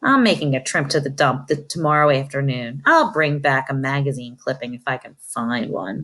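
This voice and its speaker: A gruff, put-on character voice sits at a low-to-middle pitch. It moves at a moderate pace with hardly any pauses. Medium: read story.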